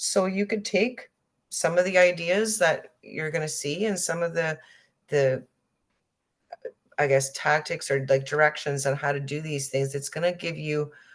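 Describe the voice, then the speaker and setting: The speech has long, frequent pauses. Pitch varies in an ordinary way. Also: woman, very deep, low pitch for a woman, moderate pace. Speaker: sewing instructor. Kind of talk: tutorial.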